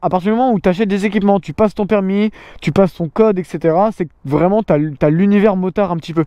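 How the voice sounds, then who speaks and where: In a dry, close recording with no echo, a man speaks very fast in a high, dark, mellow voice with ordinary pitch variation. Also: quiet background. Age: 20s. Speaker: motorcycle vlogger. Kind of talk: casual Q&A chat. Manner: hesitant, many fillers.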